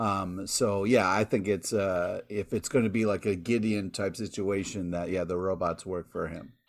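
An unremarkable speaking voice belongs to a man who talks at a moderate pace with hardly any pauses, fairly even intonation and a fairly low pitch. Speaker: podcast co-host. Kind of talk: casual chat.

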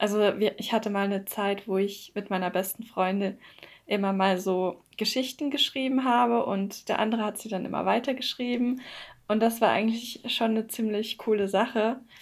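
A woman's fairly high-pitched, unremarkable speaking voice at a moderate pace, with fairly even intonation. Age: 20s. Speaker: podcast host, psychology student and poet. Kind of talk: casual chat; scripted narration.

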